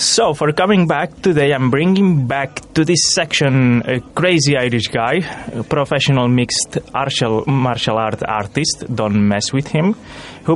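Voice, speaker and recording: Through noticeable background noise, a man speaks at a moderate pace. His intonation is lively. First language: not English. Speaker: student radio presenter. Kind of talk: casual chat.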